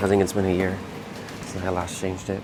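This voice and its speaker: With audible room echo and noticeable background noise, a man speaks at a very deep, low pitch. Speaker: HVAC technician. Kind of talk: work tutorial vlog. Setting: indoors in a quiet office building.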